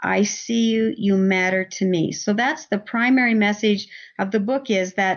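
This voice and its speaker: Delivered at a fairly slow pace, an ordinary speaking voice shows ordinary pitch variation. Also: woman. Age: 60s. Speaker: parenting coach and author. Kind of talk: podcast interview.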